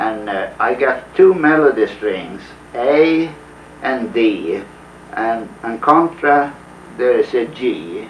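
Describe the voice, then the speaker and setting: Amid noticeable background noise, a man with a Swedish accent and a fairly high pitch speaks at a very slow pace with lively intonation and long, frequent pauses. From Sweden, Uppland. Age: 50s. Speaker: folk musician. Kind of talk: interview.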